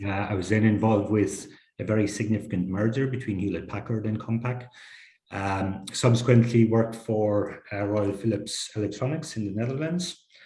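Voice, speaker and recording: A dark, mellow, somewhat breathy tone at a moderate pace, with ordinary pitch variation. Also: man, fairly low pitch for a man. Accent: Irish. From Ireland. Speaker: technology executive. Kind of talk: interview.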